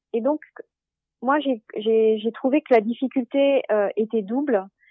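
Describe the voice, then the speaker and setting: High-pitched female voice with ordinary pitch variation. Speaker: management consultant. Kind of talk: interview. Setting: phone call.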